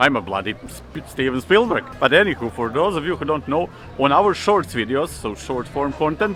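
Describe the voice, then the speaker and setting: Music plays behind a man who speaks at a moderate pace. His fairly high pitch moves in very wide swings. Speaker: vlogger. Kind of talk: casual vlog, reacting to comments. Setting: outdoors, walking through city.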